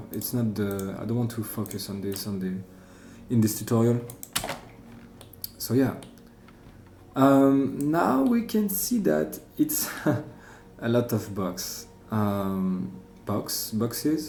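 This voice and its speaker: A man with a French accent at a very slow pace, long and frequent pauses, ordinary pitch variation, noticeable background noise and audible room echo. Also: medium pitch for a man. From France. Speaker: software tutorial creator. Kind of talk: tutorial. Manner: halting, many fillers.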